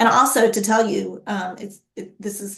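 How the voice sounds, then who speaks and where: Somewhat breathy, a woman speaks at a fairly slow pace and medium pitch. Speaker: workforce development speaker. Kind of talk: presentation with Q&A.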